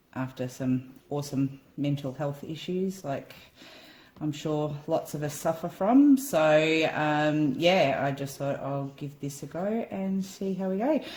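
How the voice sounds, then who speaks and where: Somewhat breathy, a woman with a very deep, low voice and an Australian accent speaks at a fairly slow pace with ordinary pitch variation. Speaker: acrylic pouring hobbyist. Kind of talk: casual tutorial vlog. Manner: casual, hesitant with many ums.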